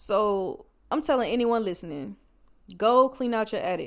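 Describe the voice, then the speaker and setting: At a moderate pace, a woman speaks in an animated tone with lively intonation and fairly high pitch, on a very clean recording with a silent background. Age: 20s. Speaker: podcast host. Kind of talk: solo podcast monologue. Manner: casual, animated.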